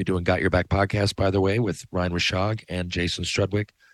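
A man with a Newfoundland accent speaks at a very deep, low pitch with fairly even intonation. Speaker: podcast host, former hockey player and author. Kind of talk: casual monologue. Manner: loud, yelling when passionate.

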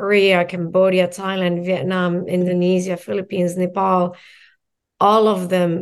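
A woman with a fairly low voice talks fairly slowly in a flat monotone. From Morocco. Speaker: mindset coach. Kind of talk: casual interview.

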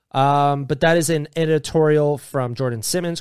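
A man's fairly high pitch comes through in a very clean recording with a silent background. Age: 20s. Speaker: podcast co-host. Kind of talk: casual chat. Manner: animated.

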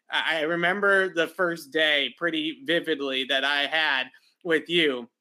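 A man with a fairly high pitch and a bright, sharp tone talks at a fairly slow pace with fairly even intonation.

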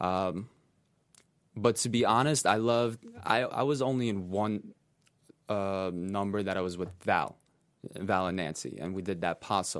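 A man with a Russian accent and a fairly low pitch speaks with long, frequent pauses. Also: ordinary pitch variation, moderate pace. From Russia (Siberia), raised partly in New York. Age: 20s. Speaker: professional dancer. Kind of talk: interview. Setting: studio.

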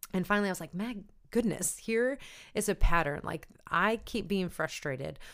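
With a St. Louis accent, a woman talks in a medium pitch at a moderate pace, her intonation lively. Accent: St. Louis Midwestern. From Saint Louis, Missouri. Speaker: podcast host. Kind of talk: casual interview chat.

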